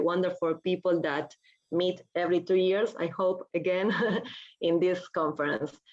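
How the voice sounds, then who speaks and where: Speaking at a moderate pace, a woman with a Spanish accent talks at a medium pitch. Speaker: philosophy professor. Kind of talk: academic conference talk. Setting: video call.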